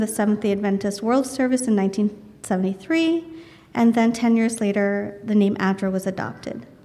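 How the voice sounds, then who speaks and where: A soft-spoken woman at a moderate pace, with ordinary pitch variation, noticeable background noise and audible room echo. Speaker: charity representative giving a guest sermon. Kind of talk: sermon. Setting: church.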